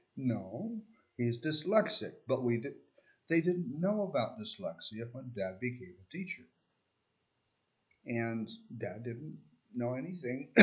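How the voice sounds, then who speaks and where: Somewhat breathy and at a medium pitch, a man speaks with very wide pitch swings, big swings in loudness, and long, frequent pauses. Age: 60s. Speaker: video essayist. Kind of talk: casual monologue. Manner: halting, with many fillers.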